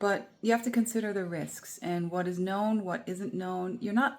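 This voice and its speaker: This woman has an ordinary speaking voice with a medium pitch. She talks at a moderate pace with ordinary pitch variation. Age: 40s. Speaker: nature therapist and vlogger. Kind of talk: casual vlog talk to camera.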